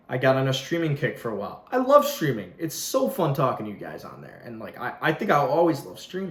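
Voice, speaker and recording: A very fast, animated man's voice, fairly high in pitch, with very wide pitch swings and big swings in loudness over noticeable background noise. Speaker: YouTuber. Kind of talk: casual vlog rant.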